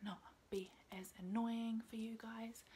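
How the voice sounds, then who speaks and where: Soft-spoken delivery here. It moves at a fairly slow pace. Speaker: YouTuber reacting to videos. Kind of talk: reaction video commentary. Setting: in her bedroom at night. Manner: quiet, talking softly.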